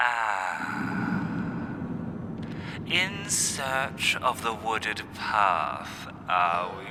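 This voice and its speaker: A man's cackling, put-on character voice of medium pitch at a very slow pace, over loud background noise. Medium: read story. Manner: cryptic, mad, cackling.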